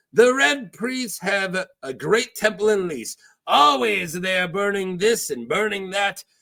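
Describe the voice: Quiet surroundings behind plain reading aloud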